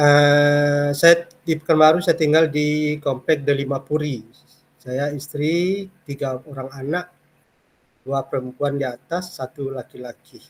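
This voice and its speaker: A man speaks at a fairly slow pace in a fairly high pitch. His intonation stays fairly even. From Kampar, Riau, Indonesia. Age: 50s. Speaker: university lecturer. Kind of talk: lecture. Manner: hesitant with fillers.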